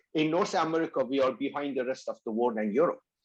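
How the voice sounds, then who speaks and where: A man with a Persian accent against a quiet background. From Iran. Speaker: company founder. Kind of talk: interview.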